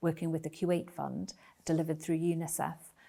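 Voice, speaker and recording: A woman's fairly low voice in a Geordie accent, dark and mellow in tone with monotone, flat intonation, in a very clean recording with a silent background. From northern England, Newcastle. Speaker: ambassador. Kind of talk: interview. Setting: embassy residence. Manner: hesitant with filler words.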